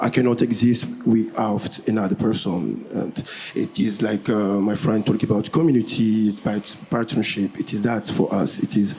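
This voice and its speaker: A man with a fairly low pitch talks at a moderate pace against noticeable background noise. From DR Congo. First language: French. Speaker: musician. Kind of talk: panel discussion. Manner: halting.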